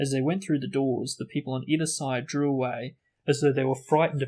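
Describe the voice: The voice is plain reading aloud with fairly even intonation over a quiet background.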